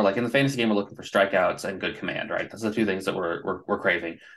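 Against a quiet background, a man with a fairly low pitch and ordinary pitch variation speaks in an ordinary speaking voice. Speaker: baseball prospect writer. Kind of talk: casual chat.

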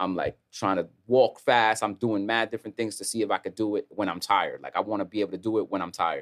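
Very fast, monotone delivery with an American accent, hardly any pauses, and a dry, close sound with no echo. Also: man, fairly low pitch for a man. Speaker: rapper. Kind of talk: casual interview chat.

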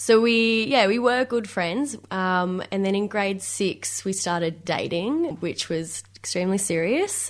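A woman of medium pitch speaks fairly slowly with hardly any pauses and ordinary pitch variation, in a very clean recording with a silent background. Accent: Australian. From Victoria, Australia. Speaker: interviewee telling love story. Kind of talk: interview.

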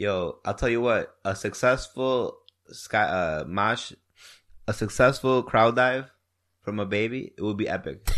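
This man has a normal speaking voice with an American accent, a medium pitch with ordinary variation, and a fairly slow pace. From Wisconsin. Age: 30s. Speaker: podcast host. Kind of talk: casual chat.

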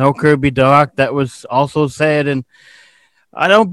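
A man with a fairly high pitch talks at a fairly slow pace in an ordinary speaking voice. The sound is dry and close with no echo, on a very clean recording with a silent background. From Nova Scotia, Canada. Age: 30s. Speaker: podcast host. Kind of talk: casual interview.

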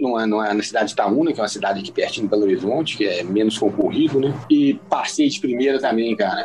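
Noticeable background noise fills the recording. A man is talking. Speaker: law graduate and former taxi driver. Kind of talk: interview. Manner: reserved, says he dislikes talking.

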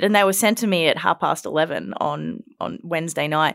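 On a very clean recording with a silent background, a woman speaks in an animated tone at a fairly quick pace with ordinary pitch variation. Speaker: podcast host and political reporter. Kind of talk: casual panel discussion. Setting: studio. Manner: animated, laughs often.

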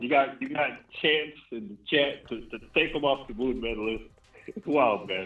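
At a moderate pace, a man speaks in a normal speaking voice at medium pitch. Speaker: live stream caller. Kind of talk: casual chat.

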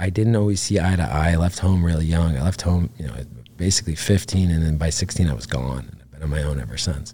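Over noticeable background noise, a man with a very deep, low voice speaks fairly quickly with lively intonation. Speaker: retired navy special operations veteran, ranch program founder. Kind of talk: casual interview. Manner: halting, many fillers.

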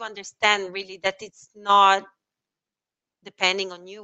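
A woman's medium-pitched voice in an Italian accent, at a fairly slow pace. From Italy. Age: 30s. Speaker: sales and marketing professional. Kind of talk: interview. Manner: halting.

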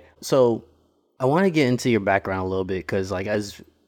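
A man talks at a fairly quick pace with lively intonation. It is a normal speaking voice. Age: 40s. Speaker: podcast host and creative professional. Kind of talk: podcast intro monologue; casual interview chat.

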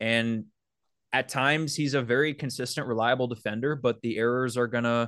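Against a quiet background, a man speaks in an ordinary speaking voice at a moderate pace and medium pitch. His loudness is very even and his intonation fairly even. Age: 20s. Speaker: baseball beat reporter. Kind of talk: casual chat.

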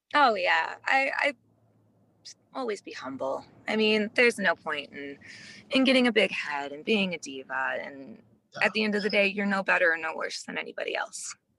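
A woman with an American accent speaks in a bright, sharp tone with vocal fry. Her loudness swings widely, and her pitch swings very widely. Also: medium pitch for a woman, moderate pace. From US Midwest. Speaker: adult film performer. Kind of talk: casual interview.

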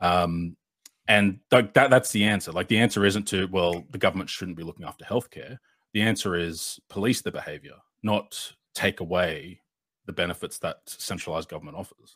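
A man with an Australian accent at a moderate pace, big swings in loudness, dry and close with no echo, on a very clean recording with a silent background. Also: fairly low pitch for a man, ordinary pitch variation. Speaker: progressive political content creator. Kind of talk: debate.

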